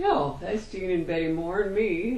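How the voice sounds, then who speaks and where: Fairly low-pitched woman with a Midwestern accent, ordinary pitch variation and a fairly slow pace, amid noticeable background noise and audible room echo. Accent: American Midwest. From US Midwest, Iowa. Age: 80s+. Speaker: interviewee recalling family history. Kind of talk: casual chat.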